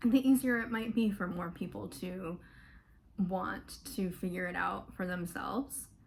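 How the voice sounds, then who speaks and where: A woman with an American accent speaks fairly slowly, at a medium pitch and with ordinary pitch variation. Vocal fry runs through her voice. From US South, Florida. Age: 20s. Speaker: mental health vlogger. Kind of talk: personal testimony. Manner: casual, many fillers.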